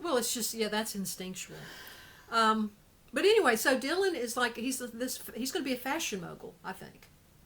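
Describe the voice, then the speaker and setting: A woman speaks at a high pitch with lively intonation and big swings in loudness. Noticeable background noise sits behind her. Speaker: show co-host. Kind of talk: casual chat. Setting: Facebook live stream. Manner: fast.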